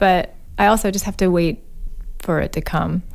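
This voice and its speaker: A woman's unremarkable speaking voice at medium pitch and a moderate pace, with an American accent, on a very clean recording with a silent background. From US South, Alabama. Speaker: singer-songwriter. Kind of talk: interview. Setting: studio.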